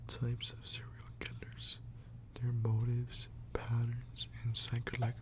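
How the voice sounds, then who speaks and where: Soft-spoken and at a fairly slow pace, the speaker comes through over noticeable background noise. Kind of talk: ASMR soft-spoken book reading. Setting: close microphone recording, page-turning sounds. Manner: soft-spoken, slow.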